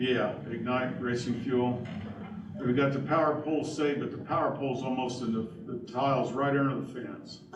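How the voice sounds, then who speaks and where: A man's medium-pitched voice at a moderate pace with fairly even intonation, plus audible room echo and noticeable background noise. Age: 60s. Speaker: county drainage board official. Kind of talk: public board meeting discussion.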